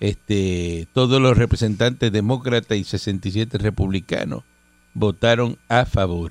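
Very slowly, a man with a Puerto Rican accent speaks at a fairly low pitch with ordinary pitch variation. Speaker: radio host. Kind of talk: news reading; casual chat. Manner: loud; animated.

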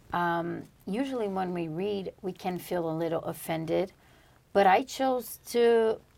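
A woman with a Portuguese accent speaks at a very slow pace, her medium pitch showing ordinary variation. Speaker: podcast co-host. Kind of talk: religious study discussion. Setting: studio.

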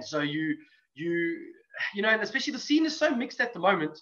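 A man speaks very fast in a raised, projected voice with a high pitch. His tone is bright and sharp, and his intonation lively. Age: 40s. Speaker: metal band musician. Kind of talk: casual chat.

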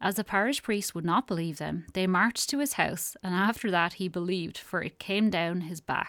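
She has a normal speaking voice. The woman's pitch is medium. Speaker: radio host. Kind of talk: casual chat; folk ghost story narration. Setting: radio studio. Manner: warm, chatty.

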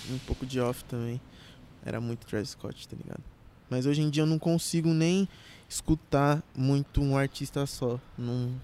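A man with a dark, mellow tone and a fairly high pitch speaks at a moderate pace with fairly even intonation. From Brazil, Carapicuíba, São Paulo state. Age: 20s. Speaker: trap artist. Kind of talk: casual chat.

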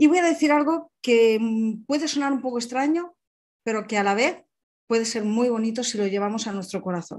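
Lively intonation runs through a normal speaking voice delivered at a fairly quick pace. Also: woman, fairly high pitch for a woman. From Alicante, Spain. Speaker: personal development coach. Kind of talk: online seminar talk.

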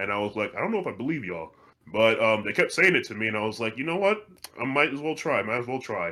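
Talking at a very fast pace, a man with an American accent swings his pitch very widely. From Virginia, US. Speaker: voice actor and podcast host. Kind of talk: casual interview chat. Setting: call or video call.

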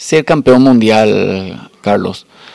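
The speaker is a man with medium pitch. His pitch variation is ordinary. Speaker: podcast host and masters swimmer. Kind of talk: interview.

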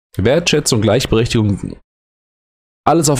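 A somewhat breathy man's voice at a moderate pace, with very wide pitch swings. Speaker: educator and podcast host. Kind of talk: solo late-night podcast monologue. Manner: halting, hesitant.

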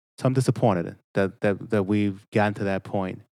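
On a very clean recording with a silent background, a man with an unremarkable speaking voice and an American accent speaks fairly quickly at a fairly low pitch. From Boston, Mattapan. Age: 50s. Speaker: state representative. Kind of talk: casual chat. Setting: studio.

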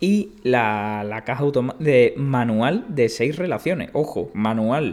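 Using lively intonation, a man at medium pitch speaks at a very slow pace. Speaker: tech podcast co-host. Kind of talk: casual chat. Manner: hesitant, many fillers.

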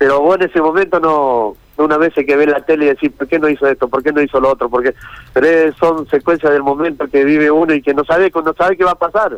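A fairly high-pitched man speaks in a Rioplatense accent at a very fast pace with fairly even intonation. The sound is dry and close, with no echo. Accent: Argentine Spanish (rioplatense, voseo). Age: old. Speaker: fisherman involved in a viral incident. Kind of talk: phone interview on radio.

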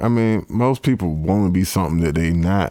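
In a Georgia accent, a man speaks with a fairly low pitch and lively intonation. His dark, mellow tone comes through on a very clean recording with a silent background. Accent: Southern US (Georgia). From US South, Columbus, Georgia. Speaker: rapper. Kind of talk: casual interview chat.

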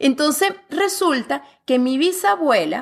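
Lively intonation carries speech that unfolds very slowly. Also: woman. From Venezuela. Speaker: author and fitness coach. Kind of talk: interview conversation.

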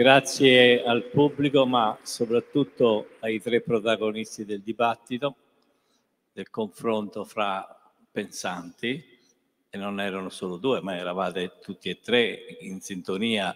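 Very slowly and with long, frequent pauses, a man talks at a medium pitch with ordinary pitch variation. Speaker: event organizer. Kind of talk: formal introduction. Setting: stage with audience.

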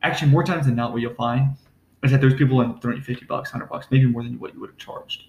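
A man's somewhat breathy, medium-pitched voice moves at a very fast pace with fairly even intonation and big swings in loudness. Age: 20s. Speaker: entrepreneur. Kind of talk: casual chat.

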